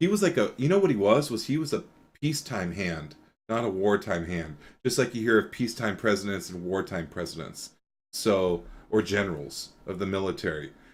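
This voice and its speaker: A man speaks loudly and fairly quickly at a fairly low pitch, his voice swinging very widely in pitch. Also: very clean recording, silent background. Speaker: podcast host. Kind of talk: casual chat.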